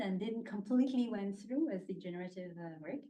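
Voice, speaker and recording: Here a woman talks at a fairly quick pace in a French accent. Her intonation is lively. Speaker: thesis supervisor. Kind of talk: formal thanks at thesis defence. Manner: halting, many fillers.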